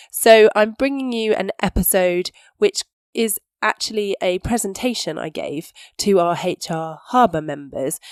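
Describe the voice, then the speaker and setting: A woman with a British accent at a fairly slow pace. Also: medium pitch for a woman. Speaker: employment solicitor and podcast host. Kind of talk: podcast intro; webinar presentation.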